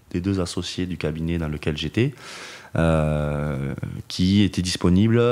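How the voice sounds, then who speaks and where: Fairly slow, fairly even speech from a man with a very deep, low voice. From Toulouse region, southwest France. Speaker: wealth management engineer, trained accountant. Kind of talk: podcast interview answer. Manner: hesitant, many fillers.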